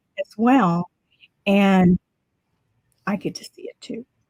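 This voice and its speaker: A woman's medium-pitched, somewhat breathy voice, dark and mellow in tone, at a very slow pace, with ordinary pitch variation and a dry, close sound with no echo. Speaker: art instructor. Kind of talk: tutorial. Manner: casual, chatty.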